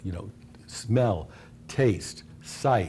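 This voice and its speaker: Somewhat breathy male voice with lively intonation. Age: 60s. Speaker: restaurant company co-founder. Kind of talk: talk to students.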